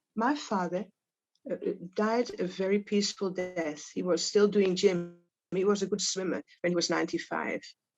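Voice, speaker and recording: In a Dutch accent, a woman talks at a medium pitch and a moderate pace with ordinary pitch variation. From Netherlands. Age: 80s+. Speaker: Holocaust survivor. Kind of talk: testimony. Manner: halting.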